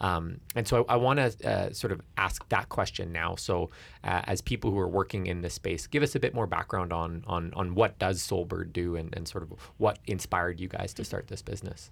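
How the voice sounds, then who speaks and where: Speaking with a Canadian accent, a man talks at a moderate pace in a very deep, low pitch with ordinary pitch variation. The recording is very clean, with a silent background. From Alberta, Canada. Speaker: radio host. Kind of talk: interview.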